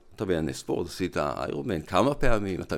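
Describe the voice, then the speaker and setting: A man's voice with vocal fry at a fairly quick pace. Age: 50s. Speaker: physician and lecturer. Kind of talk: interview conversation. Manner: explanatory.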